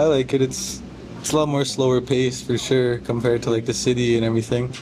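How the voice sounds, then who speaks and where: Over music in the background, a man speaks very fast at a medium pitch, monotone and flat, with very even loudness. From northern Alberta, Canada. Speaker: apprentice plumber. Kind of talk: casual interview. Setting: pizza shop.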